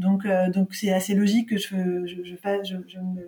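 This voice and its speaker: A woman's voice of medium pitch sounds somewhat breathy, with a dark, mellow tone. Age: 40s. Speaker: marketing entrepreneur. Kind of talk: interview.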